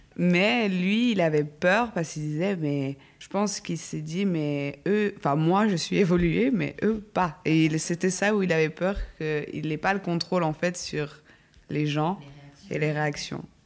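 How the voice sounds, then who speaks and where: A woman with a normal speaking voice talks at a fairly slow pace with a fairly low pitch and ordinary pitch variation. The recording is very clean with a silent background. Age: 20s. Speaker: psychologist. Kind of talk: casual chat.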